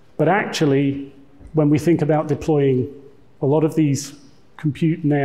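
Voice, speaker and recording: Dark, mellow tone in a British accent, somewhat breathy, at a moderate pace. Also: man. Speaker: tech executive giving conference talk. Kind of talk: conference presentation.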